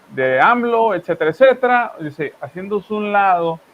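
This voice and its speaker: A man speaks in a strong Monterrey accent. Noticeable background noise sits behind him. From northern Mexico, Monterrey. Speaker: news commentary host. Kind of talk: political commentary chat. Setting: live stream.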